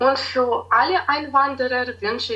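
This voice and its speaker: In a Ukrainian accent, a bright, sharp voice speaks at a very slow pace. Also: woman. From Ukraine, Kyiv. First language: Ukrainian (speaking German). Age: 20s. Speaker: tutor. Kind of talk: interview. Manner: hesitant, with filler sounds.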